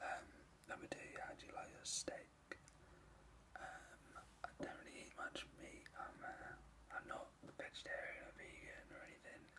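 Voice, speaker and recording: A man whispering in a relaxed tone at a fairly slow pace, with long, frequent pauses. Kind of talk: whispered ASMR video answering tag questions. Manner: soft-spoken, whispered, relaxed.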